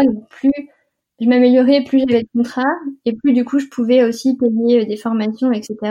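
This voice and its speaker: Flat and monotone, a woman speaks at a moderate pace in a high pitch with a dark, mellow tone. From Normandy, France. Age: 20s. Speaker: food photographer and entrepreneur. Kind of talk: casual interview. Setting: remote recording.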